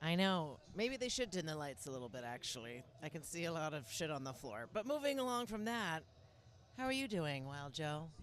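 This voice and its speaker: A woman with an American accent speaks at a moderate pace in a very deep, low pitch. Her pitch swings very widely. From US Pacific Northwest, Seattle. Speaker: stand-up comedian. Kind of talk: casual chat. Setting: sports bar.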